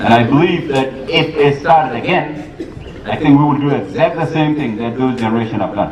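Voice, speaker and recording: Amid noticeable background noise and audible room echo, a man speaks at a fairly quick pace in a fairly high pitch with ordinary pitch variation. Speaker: politician. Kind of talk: public speech. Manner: fast.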